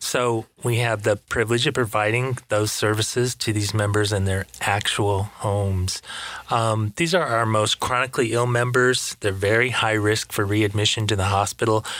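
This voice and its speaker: In an unremarkable speaking voice, a man with an American accent talks at a moderate pace with a fairly low pitch, fairly even intonation and very even loudness, on a very clean recording with a silent background. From Michigan. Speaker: nurse. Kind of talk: casual interview.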